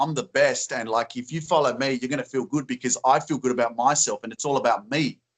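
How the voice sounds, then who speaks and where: Upbeat and enthusiastic, a man with an Australian accent talks at a very fast pace with hardly any pauses, a fairly high pitch and ordinary pitch variation. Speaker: positive influencer. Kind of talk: interview answer. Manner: upbeat, enthusiastic.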